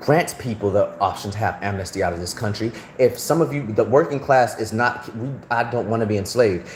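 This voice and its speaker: Noticeable background noise surrounds a man speaking at a medium pitch. His tone is animated, with ordinary pitch variation. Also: fairly quick pace. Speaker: livestreamer. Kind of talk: live stream rant. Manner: halting.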